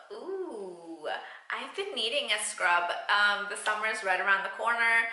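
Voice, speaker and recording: This woman's voice sits at a fairly high pitch. The recording carries audible room echo and noticeable background noise. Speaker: beauty vlogger. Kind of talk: product unboxing review.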